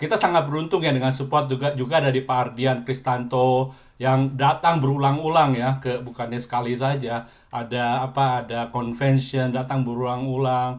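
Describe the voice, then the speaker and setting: With hardly any pauses, a man talks in a medium pitch and fairly even intonation. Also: moderate pace. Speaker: businessman, ministry chapter president. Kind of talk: testimony. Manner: halting.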